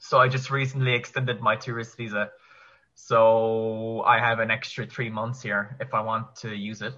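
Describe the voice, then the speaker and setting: In a Kerry accent, a man speaks at a medium pitch and moderate pace with flat, monotone intonation. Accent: Kerry Irish. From Ireland, County Kerry. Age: 20s. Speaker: online English teacher. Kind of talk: casual chat.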